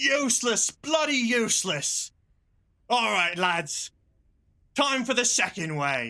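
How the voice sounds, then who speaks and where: A man performs a put-on character voice at an extremely high pitch. He speaks at a fairly slow pace. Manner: screaming, furious.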